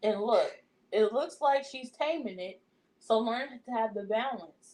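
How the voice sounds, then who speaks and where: A woman talks at a fairly slow pace. Her pitch is fairly high, with ordinary variation. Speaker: student learning card reading. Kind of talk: practice card reading. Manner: quiet, soft-spoken.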